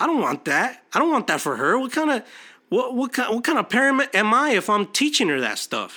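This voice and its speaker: On a very clean recording with a silent background, a man uses a raised, projected voice with an animated, bright, sharp tone. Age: 30s. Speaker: podcast host. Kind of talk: motivational monologue.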